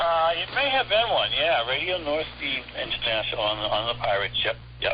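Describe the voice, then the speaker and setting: A man talks at a moderate pace. Noticeable background noise runs throughout. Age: 70s. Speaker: shortwave radio hobbyist. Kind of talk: interview. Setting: phone call. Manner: casual, with many fillers.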